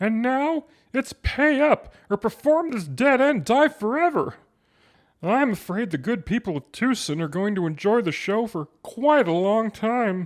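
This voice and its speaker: A man's high-pitched, put-on character voice with very wide pitch swings at a moderate pace, in a very clean recording with a silent background and a dry, close sound with no echo. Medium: audio drama. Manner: dry, wry.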